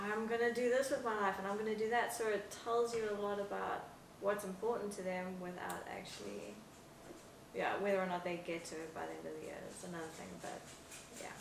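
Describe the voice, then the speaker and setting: Noticeable background noise and audible room echo around a woman's medium-pitched voice, fairly quick and fairly even in intonation, with big swings in loudness. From South Africa, Johannesburg. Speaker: podcast guest. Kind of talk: casual chat. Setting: podcast studio, sharing one mic.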